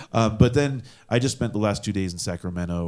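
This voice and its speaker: His tone is dark and mellow. The man talks at a moderate speed. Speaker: band guitarist. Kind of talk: casual chat. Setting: studio.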